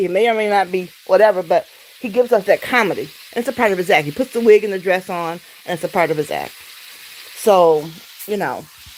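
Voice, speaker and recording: The speaker has an American accent and an animated tone, with lively intonation at a fairly quick pace. Noticeable background noise runs underneath. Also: woman. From Detroit, Michigan, US. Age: 60s. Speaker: livestreamer. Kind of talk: casual livestream chat. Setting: home, cooking during livestream.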